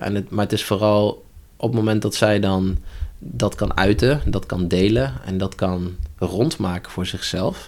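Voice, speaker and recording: Here is an unremarkable speaking voice. A man talks at a fairly slow pace with a fairly low pitch. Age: 30s. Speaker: holistic coach. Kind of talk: interview conversation. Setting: upstairs room in a church.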